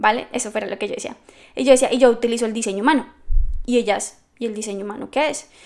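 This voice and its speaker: Animated and very fast, a woman with a fairly high pitch speaks with big swings in loudness. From Colombia, Bogotá. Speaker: business coach and podcast host. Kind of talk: solo podcast monologue.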